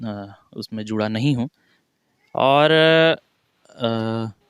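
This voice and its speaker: This man speaks at a medium pitch with ordinary pitch variation. The sound is dry and close with no echo, on a very clean recording with a silent background. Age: 20s. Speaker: newly elected local politician. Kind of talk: interview. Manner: halting, with filler sounds.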